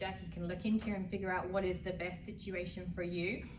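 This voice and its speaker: Here a woman with an American accent speaks at a moderate pace and a fairly low pitch. Noticeable background noise and audible room echo fill the recording. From London, England. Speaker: real estate agent. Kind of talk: casual conversational explainer.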